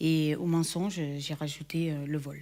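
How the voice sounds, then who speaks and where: A woman with a very deep, low pitch is heard on a very clean recording against a silent background. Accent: slight southern French. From southern France, Perpignan. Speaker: church member giving testimony. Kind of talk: testimony. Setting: recorded video shown in church. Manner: hesitant, many fillers.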